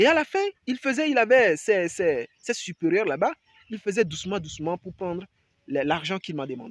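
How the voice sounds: Lively intonation comes at a moderate pace, with a dry, close sound and no echo. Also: man.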